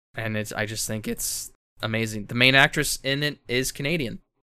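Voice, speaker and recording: In a very clean recording with a silent background, a man talks at a moderate pace and medium pitch, with ordinary pitch variation, a bright, sharp tone and vocal fry. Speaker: podcast co-host. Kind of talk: casual chat.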